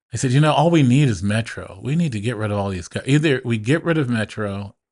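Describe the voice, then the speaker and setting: In a quiet background, a man with a medium pitch speaks at a very fast pace with lively intonation. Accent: Pacific Northwest. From Portland, Oregon. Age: 60s. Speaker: business owner and military veteran. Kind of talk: casual interview conversation.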